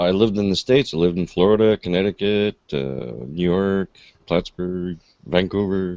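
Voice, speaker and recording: A man's very deep, low voice with a dark, mellow tone, fairly even intonation and a Quebec accent. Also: moderate pace, dry, close sound with no echo. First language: French. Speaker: livestream host. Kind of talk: casual chat.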